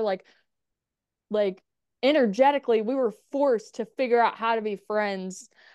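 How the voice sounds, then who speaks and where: Against a quiet background, a woman speaks in an ordinary speaking voice, fairly high in pitch, at a moderate pace with ordinary pitch variation. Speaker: podcaster and writer. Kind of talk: casual interview chat.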